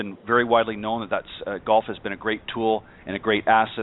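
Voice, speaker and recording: A man speaks at a fairly quick pace in a plain, everyday voice, his pitch fairly low. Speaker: golf radio show host. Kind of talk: radio talk show hosting.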